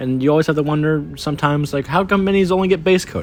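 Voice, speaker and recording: Against background music, a man talks at a fairly quick pace. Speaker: miniature painting hobby youtuber. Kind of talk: casual vlog monologue. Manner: fast; hesitant, stammering.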